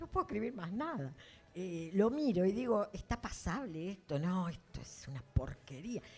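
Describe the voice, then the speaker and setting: The pitch swings very widely. Loudness also rises and falls in big swings. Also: woman, medium pitch for a woman, moderate pace. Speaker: fiction writer. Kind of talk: public literary talk.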